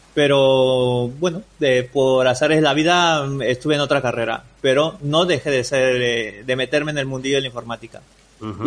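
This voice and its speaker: Hardly any pauses break this man's speech. His pitch is fairly high and his pace moderate. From Peru. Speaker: entrepreneur and WordPress developer. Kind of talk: interview. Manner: halting, frequent repetitions.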